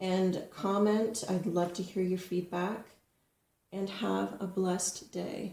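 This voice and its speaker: A woman's medium-pitched, somewhat breathy voice, dark and mellow in tone, monotone and flat, at a very slow pace with long, frequent pauses. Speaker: tarot card reader. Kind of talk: tarot reading monologue. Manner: halting, some stumbles.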